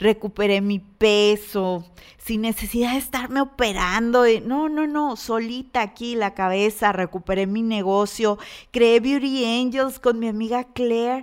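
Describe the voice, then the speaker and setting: Recorded very cleanly against a silent background, a woman with a fairly high pitch talks at a fairly slow pace with ordinary pitch variation. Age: 40s. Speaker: podcast host and business coach. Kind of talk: motivational monologue. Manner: animated.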